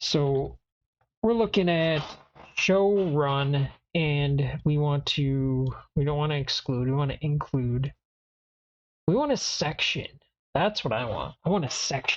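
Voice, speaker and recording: The voice is soft-spoken and fairly slow. Long, frequent pauses break up the speech. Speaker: IT learner streaming lab practice. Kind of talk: tutorial. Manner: quiet.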